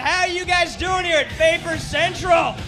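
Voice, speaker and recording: A man's raised, projected voice amid noticeable background noise. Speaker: podcast host. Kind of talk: live podcast banter. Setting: live show with audience. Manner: animated.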